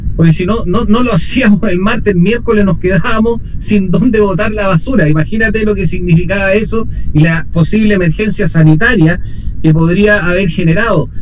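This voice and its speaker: Amid noticeable background noise and audible room echo, a man speaks fairly quickly at a high pitch with ordinary variation and very even loudness. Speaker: city councillor. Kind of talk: radio interview.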